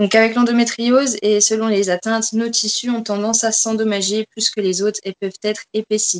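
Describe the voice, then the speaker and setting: The sound is dry and close with no echo as a woman with a fairly high pitch talks at a moderate pace. Her intonation is monotone and flat, with hardly any pauses. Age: 20s. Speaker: fitness coach. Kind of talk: interview.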